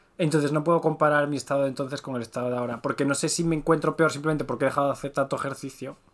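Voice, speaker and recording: The speech comes at a very fast pace. Its intonation is fairly even. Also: man. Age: 30s. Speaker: podcast co-host. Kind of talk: casual chat.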